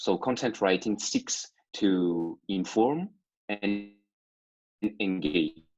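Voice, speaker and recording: A man with a non-native accent speaks in a very deep, low pitch with ordinary pitch variation. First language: not English. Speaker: copywriter and digital marketer. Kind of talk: interview. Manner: halting, many fillers.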